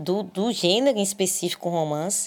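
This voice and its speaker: At a fairly slow pace, a woman with a plain, everyday voice and medium pitch speaks with lively intonation on a very clean recording with a silent background. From Brazil, Salvador, Bahia. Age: 20s. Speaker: literature student and researcher. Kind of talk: interview. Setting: recorded at home.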